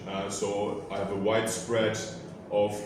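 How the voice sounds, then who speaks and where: The speaker has a German accent and fairly even intonation. Noticeable background noise and audible room echo are present. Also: man. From Germany. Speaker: master's student researcher. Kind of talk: group discussion presentation. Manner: halting, many fillers.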